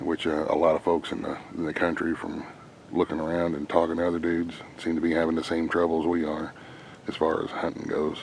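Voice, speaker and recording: Quiet and very deep, a man's voice runs at a fairly quick pace in a flat monotone over noticeable background noise. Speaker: hunter vlogger. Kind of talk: outdoor vlog. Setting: outdoors in woods. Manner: quiet, hushed.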